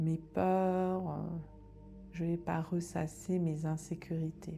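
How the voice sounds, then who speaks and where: A woman speaks very slowly in a calm, soothing tone at a fairly low pitch. Music plays in the background. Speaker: meditation guide. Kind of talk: guided meditation. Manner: calm, slow, soothing.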